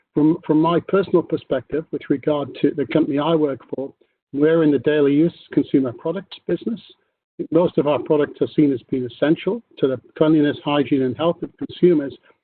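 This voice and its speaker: A man with a British accent, fairly high in pitch, at a fairly quick pace with ordinary pitch variation. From UK. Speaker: corporate tax executive. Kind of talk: panel discussion. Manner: halting, many fillers.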